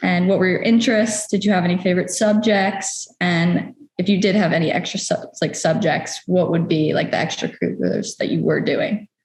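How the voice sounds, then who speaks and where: With an American accent, a woman in an unremarkable speaking voice talks at a fairly quick pace and medium pitch, with fairly even intonation, very even loudness and hardly any pauses. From New York. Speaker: interviewer. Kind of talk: interview.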